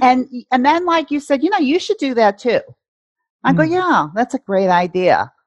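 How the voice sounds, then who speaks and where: Heard dry and close with no echo, a woman speaks at a moderate pace in a high voice with very wide pitch swings. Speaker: life coach. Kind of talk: casual interview conversation.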